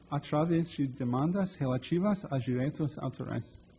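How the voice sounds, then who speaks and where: Against a quiet background, a man speaks at a moderate pace with ordinary pitch variation. His voice is somewhat breathy. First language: English (speaking Portuguese). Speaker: digital rights technologist. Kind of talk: lecture. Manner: halting.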